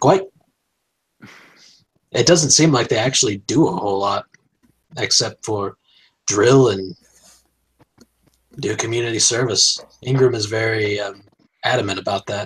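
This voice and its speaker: In a put-on character voice, a man speaks at a moderate pace with long, frequent pauses, his raspy voice at a medium pitch with ordinary pitch variation. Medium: actual play.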